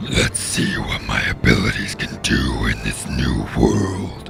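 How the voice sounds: A man's put-on character voice, extremely low and slow, full of big pitch swings and vocal fry, with music clearly playing behind it.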